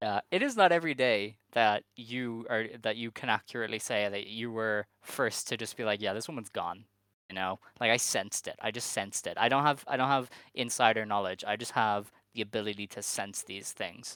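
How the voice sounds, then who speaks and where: Over a silent background in a very clean recording, a man talks at a fairly quick pace in a medium pitch, his tone bright and sharp with ordinary pitch variation. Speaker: wrestling podcast co-host. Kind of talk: casual chat. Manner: animated.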